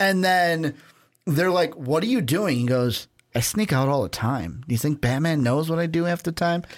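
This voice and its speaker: On a very clean recording with a silent background, a man with a normal speaking voice talks at a fairly high pitch with lively intonation and very even loudness. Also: moderate pace. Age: 20s. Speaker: podcast co-host. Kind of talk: casual chat.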